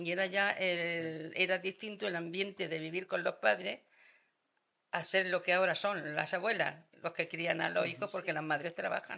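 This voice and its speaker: A woman with a bright, sharp tone speaks at a medium pitch and moderate pace, using ordinary pitch variation. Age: 80s+. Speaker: retired schoolteacher. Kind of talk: casual chat.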